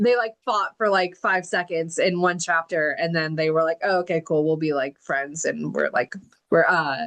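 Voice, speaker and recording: A woman with a plain, everyday voice speaks at a moderate pace in a fairly low pitch, with ordinary pitch variation and very even loudness. The sound is dry and close, with no echo. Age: 30s. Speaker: book club host and author. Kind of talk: interview. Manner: casual, filler-heavy.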